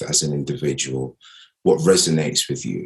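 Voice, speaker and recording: A man is speaking. He has a British accent. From Nigeria, then Greece, raised in UK. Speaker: actor. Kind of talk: interview.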